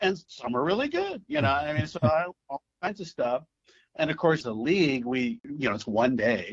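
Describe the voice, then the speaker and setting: A man with an American accent uses a normal speaking voice at a fairly high pitch and a moderate pace. His intonation is lively, and the sound is dry and close with no echo. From US Midwest, St. Louis. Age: 60s. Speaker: youth baseball commissioner. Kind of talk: casual interview.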